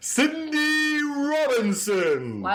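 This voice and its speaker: A high-pitched, put-on character voice does the talking. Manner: loud, booming, drawn-out all-caps delivery.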